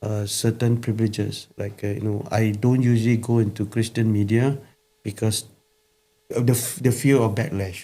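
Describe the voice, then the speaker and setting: Here a man with a Singaporean accent has a dark, mellow, somewhat breathy tone at medium pitch. He keeps a moderate pace and fairly even intonation. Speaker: pastor. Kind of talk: casual chat. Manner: halting.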